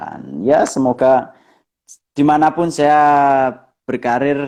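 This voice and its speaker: A man with a strong Javanese accent and a dark, mellow tone. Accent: thick Javanese. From East Java, Bojonegoro. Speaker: professional footballer. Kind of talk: interview.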